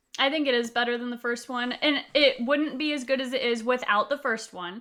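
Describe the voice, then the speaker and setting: Fairly quick speech from a woman with a high pitch. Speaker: podcast co-host. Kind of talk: casual chat. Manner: animated.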